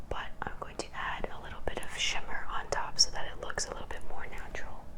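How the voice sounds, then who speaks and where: A woman's whispering in a gentle tone, over noticeable background noise. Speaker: ASMR makeup creator. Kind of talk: ASMR makeup tutorial. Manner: whispered, gentle.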